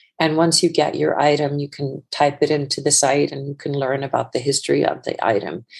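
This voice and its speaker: A woman with an Icelandic accent speaks at a moderate pace in a very deep, low voice with vocal fry and ordinary pitch variation. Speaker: fashion entrepreneur. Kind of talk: interview. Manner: halting, with repeated words.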